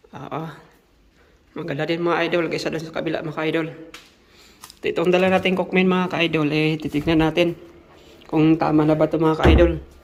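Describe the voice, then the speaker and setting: The speech is broken by long, frequent pauses. Noticeable background noise runs underneath. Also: fairly quick pace. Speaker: factory worker vlogger. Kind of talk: casual vlog. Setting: worker dormitory.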